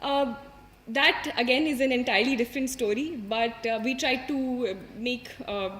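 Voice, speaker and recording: In an Indian accent, the speaker talks at a moderate pace with fairly even intonation over noticeable background noise. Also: woman, high pitch for a woman. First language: Hindi. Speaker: civil services exam topper. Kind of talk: motivational talk. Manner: halting, many fillers.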